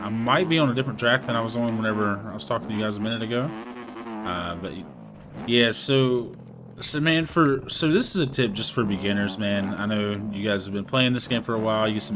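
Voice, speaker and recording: Fairly quick male speech, medium in pitch, with audible echo from the room. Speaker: gaming youtuber. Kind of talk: casual gameplay commentary. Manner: fast, casual.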